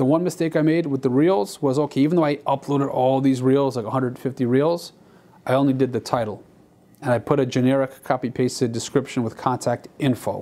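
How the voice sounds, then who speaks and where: With a dark, mellow tone, a man talks at a fairly quick pace and with fairly even intonation. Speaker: stock footage creator. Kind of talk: casual vlog chat. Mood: reflective, mildly disappointed. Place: studio. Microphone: lapel.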